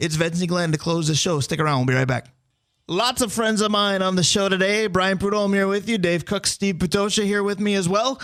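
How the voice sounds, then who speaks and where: On a very clean recording with a silent background, a man with a high pitch talks at a fairly quick pace. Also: ordinary pitch variation, very even loudness. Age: 40s. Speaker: sports radio host. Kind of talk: sports talk radio.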